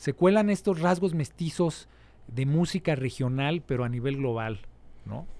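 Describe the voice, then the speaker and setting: With a dark, mellow tone and lively intonation, a man speaks at a fairly slow pace. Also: fairly high pitch for a man. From Mexico City. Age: 40s. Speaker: musician. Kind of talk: interview. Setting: studio.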